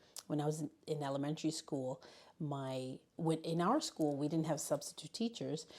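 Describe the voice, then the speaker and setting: Speaking with a Spanish accent, a woman talks at a moderate pace in a very deep, low pitch with ordinary pitch variation. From US Northeast, Bronx, New York City, Puerto Rican family. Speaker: high school learning specialist. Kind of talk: interview. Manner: halting.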